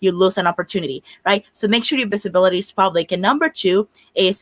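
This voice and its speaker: A woman speaks very fast at a medium pitch in a bright, sharp tone, the sound dry and close with no echo. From Dominican Republic. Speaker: career coach. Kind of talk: panel discussion.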